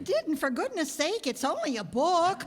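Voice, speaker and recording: A woman uses a put-on character voice pitched high. She speaks at a moderate pace, with light background noise behind her. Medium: stage play. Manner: fluttery, exclamatory.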